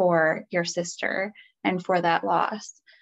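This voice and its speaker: Against a quiet background, a woman speaks at a moderate pace and medium pitch. Her voice has vocal fry. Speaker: podcast host. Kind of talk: casual interview chat.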